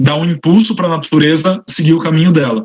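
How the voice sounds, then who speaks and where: There is some breathiness in the voice, and its pitch varies normally. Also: man. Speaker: researcher. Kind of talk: lecture. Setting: online livestream. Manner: fast.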